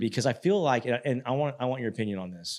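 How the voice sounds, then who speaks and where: On a very clean recording with a silent background, a man in an unremarkable speaking voice talks at a moderate pace with ordinary pitch variation. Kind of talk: podcast host talk.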